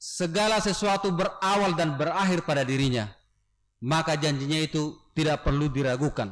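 With ordinary pitch variation, a man speaks fairly quickly, and the background stays quiet. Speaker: pastor. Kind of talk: sermon. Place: church. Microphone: podium.

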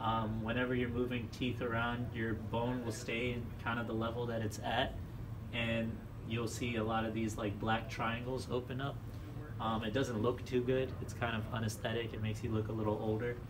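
Noticeable background noise sits behind a man speaking at a moderate pace. His intonation is monotone and flat. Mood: calm, reassuring. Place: office.

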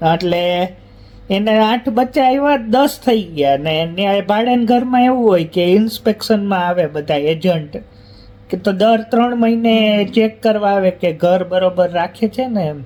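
Through noticeable background noise comes a man's high-pitched voice. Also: ordinary pitch variation. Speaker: family vlogger. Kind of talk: casual family vlog chat.

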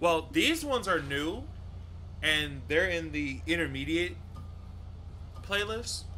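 Faint music sits in the background while the voice moves at a very slow pace with long, frequent pauses. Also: man. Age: 20s. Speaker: gaming streamer. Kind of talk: casual chat. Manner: animated. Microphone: headset.

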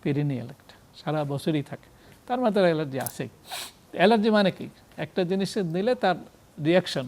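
A man's high-pitched voice with lively intonation and big swings in loudness. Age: 70s. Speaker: physician. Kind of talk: TV health talk interview. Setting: TV studio.

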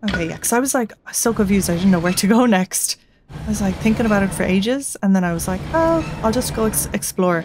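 Talking at a very fast pace, a woman is heard over noticeable background noise. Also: ordinary pitch variation. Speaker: gaming channel host; gaming streamer. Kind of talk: let's play commentary. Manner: casual, chill. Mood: confused, chill.

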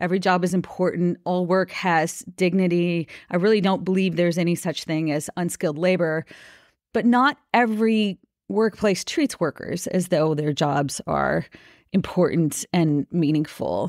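In an American accent, a woman talks at a moderate pace with ordinary pitch variation and very even loudness, an ordinary speaking voice on a very clean recording with a silent background. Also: fairly low pitch for a woman, dry, close sound with no echo. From US Midwest, Minnesota. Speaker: labor union organizer. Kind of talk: interview.

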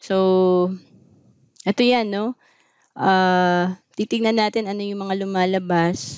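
At a medium pitch, a woman speaks with monotone, flat intonation. She goes at a very slow pace with long, frequent pauses against a quiet background. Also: dry sound with no echo. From Philippines. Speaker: financial advisor and vlogger; vlogger. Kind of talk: talk on personal finance. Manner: casual conversational, frequent fillers. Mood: calm, explanatory. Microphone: webcam.

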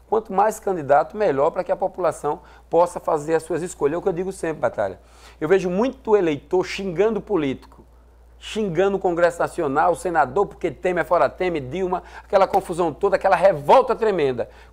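A man with a high-pitched voice talks fairly quickly, his pitch moving in a normal way. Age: 40s. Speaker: state legislator and military police captain; politician guest. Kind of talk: TV interview. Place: studio. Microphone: lapel.

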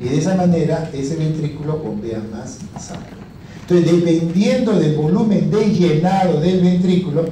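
A man speaks at a fairly slow pace with ordinary pitch variation. There is audible room echo and light background noise. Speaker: lecturer. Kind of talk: lecture. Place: classroom. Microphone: handheld.

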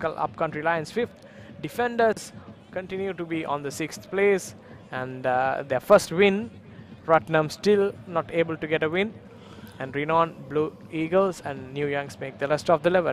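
A man's fairly high-pitched voice at a fairly slow pace, with ordinary pitch variation and long, frequent pauses. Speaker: football commentator. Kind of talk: live sports commentary over match highlights. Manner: fluent, brisk play-by-play; matter-of-fact, analytical.

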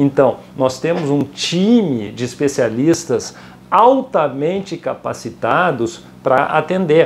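Over light background noise, a man with a fairly high pitch speaks very slowly with lively intonation. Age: 50s. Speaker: currency exchange company founder; guest. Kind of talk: casual interview. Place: office. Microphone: lapel.

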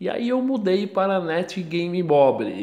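The speaker is a man. He has a Brazilian accent. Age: 30s. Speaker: gaming YouTuber. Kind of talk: gameplay commentary. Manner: casual.

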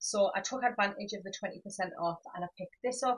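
A woman's lively intonation against a quiet background. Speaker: home decor vlogger. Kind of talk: casual haul vlog chat. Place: home room. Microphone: camera far.

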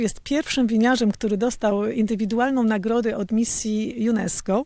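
A woman speaks at a moderate pace with fairly even intonation and a fairly high pitch. It is an unremarkable speaking voice. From Poland. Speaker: champagne house co-owner, former actress. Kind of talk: interview.

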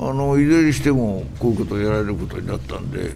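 His pitch moves in very wide swings. The man talks at a fairly quick pace. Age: 80s+. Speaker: politician. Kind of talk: press remarks.

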